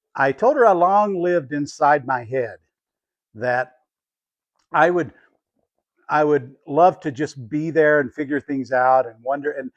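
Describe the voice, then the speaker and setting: The sound is dry and close, with no echo, as a man with a fairly high pitch speaks. He keeps a moderate pace and ordinary pitch variation. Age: 60s. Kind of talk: personal reflection to camera.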